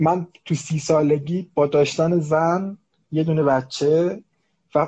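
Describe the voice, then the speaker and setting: This man's voice has a dark, mellow tone and is somewhat breathy. His pitch variation is ordinary. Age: 30s. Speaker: HR manager and coach. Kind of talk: casual chat.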